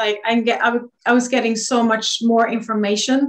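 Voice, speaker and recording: A woman speaks with a Swedish accent at a fairly high pitch. Her intonation is monotone and flat. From Sweden. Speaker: energy healer. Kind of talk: interview.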